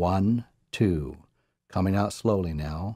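Fairly low-pitched and dark, mellow in tone, a man talks with ordinary pitch variation in a very clean recording with a silent background. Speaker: guided meditation narrator. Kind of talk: guided meditation. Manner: slow, calm, soothing; measured, hypnotic.

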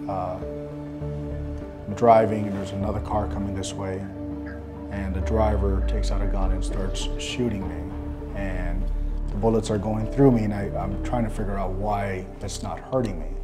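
With clear music in the background, a man speaks at a moderate pace, leaving long, frequent pauses. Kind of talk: interview answer. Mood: emotional, recounting nightmare. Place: office. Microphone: lapel.

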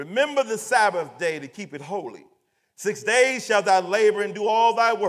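A man talks at a moderate pace with lively intonation. The background is quiet. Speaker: scripture reader. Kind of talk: scripture reading aloud. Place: church.

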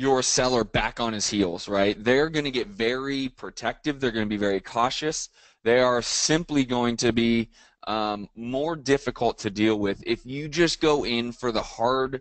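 In a dry sound with no echo and a quiet background, a man speaks at a fairly slow pace with ordinary pitch variation. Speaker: real estate coach. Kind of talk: lecture. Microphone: video call.

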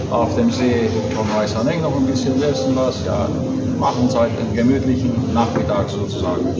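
Loud background noise fills the recording. A man speaks through it at a moderate pace. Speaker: vlogger. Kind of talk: casual vlog chat. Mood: relaxed, cheerful.

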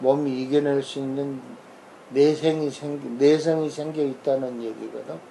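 Over noticeable background noise, a man with fairly high pitch talks at a very slow pace. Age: old. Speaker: family doctor. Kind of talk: casual medical explainer. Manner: informal, conversational.

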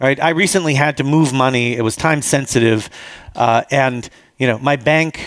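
A man's lively intonation at a moderate pace, with a dry, echo-free sound over a quiet background. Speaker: conference speaker. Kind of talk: conference talk with slides. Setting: stage with audience. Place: hall.

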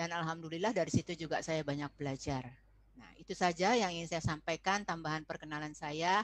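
A woman speaks at a fairly quick pace with a warm tone, in a dry sound with no echo. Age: 60s. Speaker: foundation chair and lecturer on parenting; presenter. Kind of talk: online parenting presentation. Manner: warm, conversational, addresses audience. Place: classroom. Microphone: webcam.

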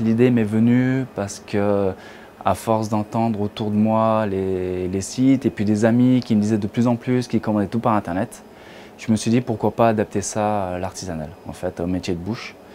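A man with an unremarkable speaking voice talks at a moderate pace with fairly even intonation over light background noise. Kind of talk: interview answer. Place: shop. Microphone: lapel.

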